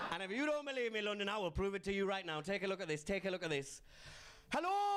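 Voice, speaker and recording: A man with a Geordie accent talks at a very fast pace in a high pitch. His intonation is lively, and there is noticeable background noise. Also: very even loudness. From northern England, Newcastle (Geordie). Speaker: comedian. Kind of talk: stand-up. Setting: stage with audience.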